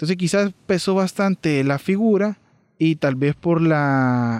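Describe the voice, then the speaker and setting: The recording is dry and close with no echo and a quiet background, carrying a dark, mellow tone with ordinary pitch variation. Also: man. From El Salvador. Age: 30s. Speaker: podcast co-host. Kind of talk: casual history discussion.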